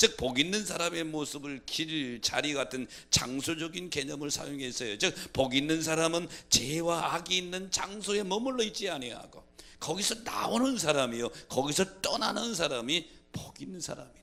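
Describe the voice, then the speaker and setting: A man's fairly high, bright, sharp voice with lively intonation, a moderate pace and a strong Chungcheong accent. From Korea, Chungcheong province. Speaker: pastor. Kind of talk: sermon. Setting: church.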